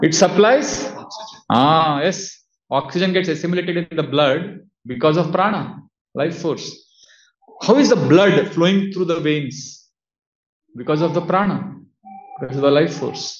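Room echo and light background noise accompany a man with a high pitch and ordinary pitch variation. He talks at a fairly slow pace with long, frequent pauses. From India, Udupi (Karnataka); Karnataka, India. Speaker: monk and spiritual teacher; monk lecturer. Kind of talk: lecture. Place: home room.

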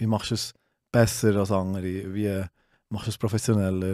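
Over a quiet background, a man with a fairly low pitch speaks at a fairly slow pace in a monotone, flat manner, the sound dry with no echo. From Switzerland, Solothurn; Switzerland. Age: 30s. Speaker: CrossFit gym owner; guest. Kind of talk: casual chat. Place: studio. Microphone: studio mic.

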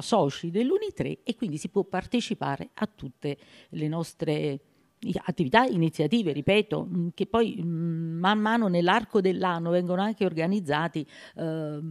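In a quiet background, a woman with a normal speaking voice talks at a fairly slow pace and fairly low pitch with ordinary pitch variation. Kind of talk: interview answer. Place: hall. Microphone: handheld.

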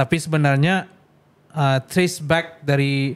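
Fairly even intonation from a man with a fairly high pitch. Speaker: podcast host. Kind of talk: casual podcast conversation. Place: studio. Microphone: studio mic.

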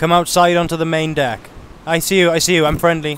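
A man with a British accent speaks at a high pitch and moderate pace, the sound dry with no echo and light background noise. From United Kingdom. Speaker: gaming video creator. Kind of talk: gameplay narration with roleplay. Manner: casual. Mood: cautious, calming, commanding.

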